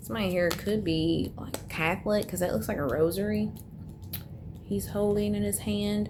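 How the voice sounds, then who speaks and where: Audible room echo surrounds a woman whose very deep, low voice swings very widely in pitch. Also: moderate pace. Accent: American. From US South. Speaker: tarot reader. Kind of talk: tarot reading monologue. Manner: casual, chatty with fillers.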